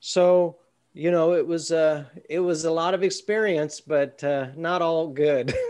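High pitch from a man with an American accent, very even loudness, fairly even intonation and a fairly slow pace, over a quiet background. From Southern California. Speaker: university lecturer. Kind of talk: work meeting. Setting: video call. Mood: reflective, slightly rueful. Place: home room. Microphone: video call.

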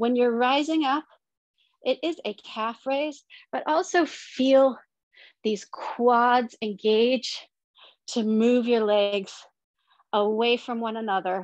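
Very slowly and at a fairly high pitch, a woman speaks against a quiet background, the sound dry with no echo. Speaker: fitness instructor. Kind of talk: guided exercise class with rhythmic cues and countdowns. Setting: online workout video at home. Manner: brisk, rhythmic, encouraging. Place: home room.

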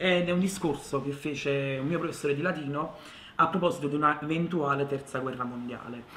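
A man talks with fairly even intonation. Light background noise and audible room echo are present. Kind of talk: interview answer. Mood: thoughtful, calm. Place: home room.

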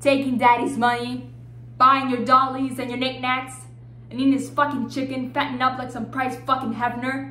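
Moderate pace, audible room echo and light background noise. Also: woman. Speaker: actor doing self-tape monologues. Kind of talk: dramatic monologue performance. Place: home room. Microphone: phone near.

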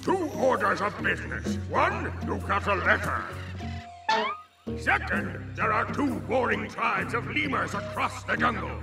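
Fairly slow, high-pitched put-on character voice from a man, with big pitch swings, vocal fry, audible room echo and clear music in the background

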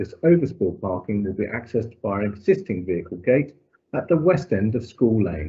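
A man's fairly low voice at a fairly quick pace, very wide pitch swings, quiet background. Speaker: local councillor. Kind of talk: formal meeting. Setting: video call. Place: home room. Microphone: video call.

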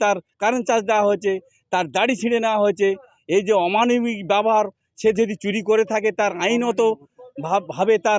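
A man's high-pitched voice in a monotone, flat intonation, with a dry, close sound and no echo. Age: 60s. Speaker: villager protesting police violence. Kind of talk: street interview. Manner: agitated.

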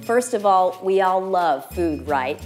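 A woman's fairly low-pitched voice over clear music in the background. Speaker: wine expert host. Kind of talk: tutorial. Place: kitchen.

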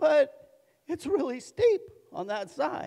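A man uses a put-on character voice at an extremely high pitch. It sounds shaky, with very wide pitch swings and a fairly slow pace. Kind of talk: high and shaky. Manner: fearful, mock-effeminate.

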